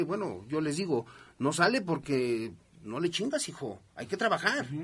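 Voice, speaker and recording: A man speaks in a bright, sharp tone, his pitch swinging very widely. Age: 50s. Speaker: radio host. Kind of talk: radio talk show.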